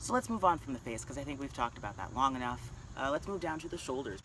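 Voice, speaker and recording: Over noticeable background noise, a man's medium-pitched voice shows ordinary pitch variation. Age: 30s. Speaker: vlogger. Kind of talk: casual vlog update. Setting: outdoors in a park. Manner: casual, conversational.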